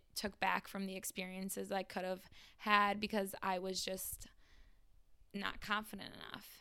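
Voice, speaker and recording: With an American accent, a woman of medium pitch speaks at a fairly slow pace in a bright, sharp tone and a monotone, flat intonation. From Michigan. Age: 20s. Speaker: college student. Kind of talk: casual chat.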